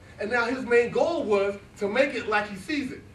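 Lively intonation and an animated tone at a moderate pace, with audible room echo. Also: man. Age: 40s. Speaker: motivational speaker. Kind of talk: motivational speech. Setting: stage with audience. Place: classroom. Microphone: camera far.

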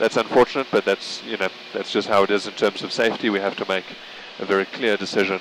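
Noticeable background noise surrounds a man with a fairly low pitch. He talks very fast, in a dry sound with no echo. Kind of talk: commentary while flying. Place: plane. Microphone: headset.

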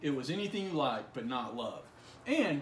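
Speaking at a fairly quick pace, a man is heard over light background noise with audible room echo. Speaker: college literature instructor. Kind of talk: literary audiobook reading, a passage from the story read aloud within a lecture. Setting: recorded video lesson for an online course. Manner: measured, even, read-aloud pacing with a gentle, reflective tone; informal, conversational and explanatory in the surrounding lecture. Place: home room. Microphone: phone near.

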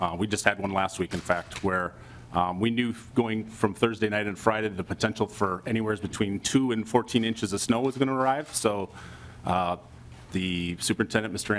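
A man talks at a moderate pace with a fairly low pitch and fairly even intonation. Light background noise is present. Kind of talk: hearing testimony. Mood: calm, positive, formal. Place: meeting room. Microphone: podium.

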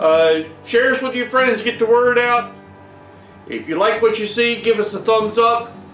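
A man talks at a moderate pace in a room with audible echo. Faint music plays in the background. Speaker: home brewing channel host. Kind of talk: tutorial. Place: workshop.

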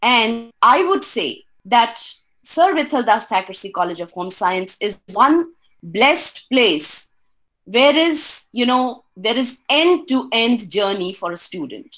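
A woman speaks at a very slow pace. Her pitch swings very widely over a quiet background. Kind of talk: presentation talk. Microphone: webcam.

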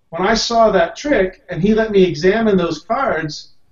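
Someone with an American accent speaks with audible room echo against a quiet background. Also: man. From US South, Tennessee (Knoxville). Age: 40s. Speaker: card magician, Air Force veteran. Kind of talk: panel discussion. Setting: video call. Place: home room. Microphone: video call.

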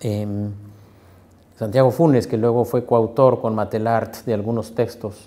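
A man's dark, mellow tone in a flat monotone, fairly slow. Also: medium pitch for a man. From Mexico, Morelia (Michoacán); Michoacán, Mexico. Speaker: sociologist and university researcher. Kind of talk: interview. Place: office. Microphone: lapel.

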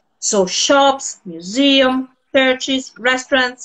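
A woman speaks in a high voice with an Italian accent. Her pitch varies in an ordinary way. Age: 50s. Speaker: tour organizer and project founder. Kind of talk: casual chat. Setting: live video call.

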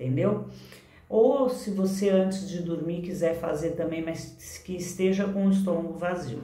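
A woman speaks at a fairly slow pace and a fairly low pitch, with a warm tone. Her intonation is lively, and the room echo is audible. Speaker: therapist and online course teacher; teacher. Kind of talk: tutorial. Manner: warm, conversational. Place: home room. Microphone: phone near.

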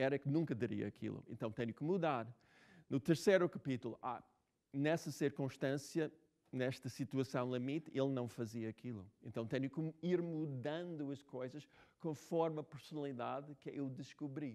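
Over a quiet background, a dark, mellow voice with an English accent shows ordinary pitch variation. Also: man. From United States. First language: English (speaking Portuguese). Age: 60s. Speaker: novelist. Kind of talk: talk and Q&A with students. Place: hall.

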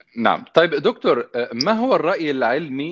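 A man speaks against a quiet background. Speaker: TV presenter. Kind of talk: interview questions, broadcast. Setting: studio, guest on remote link. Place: home room.

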